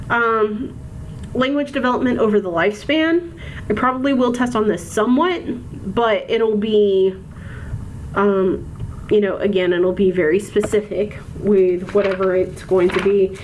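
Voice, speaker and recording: A woman with an American accent and medium pitch talks at a moderate pace, with long, frequent pauses, very even loudness and ordinary pitch variation. Noticeable background noise and audible room echo fill the recording. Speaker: college instructor. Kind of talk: recorded lecture. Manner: measured, precise in lectures; frequent filler ums.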